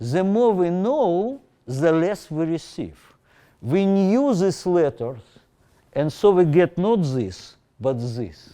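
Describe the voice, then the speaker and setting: A man with a non-native accent, high-pitched yet dark and mellow in tone, very slow, with very wide pitch swings, over a quiet background. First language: not English. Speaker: professor. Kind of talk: lecture. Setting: lecture hall with Zoom audience. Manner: halting.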